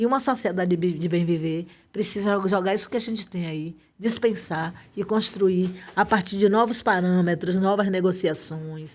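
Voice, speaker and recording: Speech at a moderate pace with ordinary pitch variation comes through on a very clean recording with a silent background. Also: woman, medium pitch for a woman. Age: 60s. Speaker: activist. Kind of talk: interview.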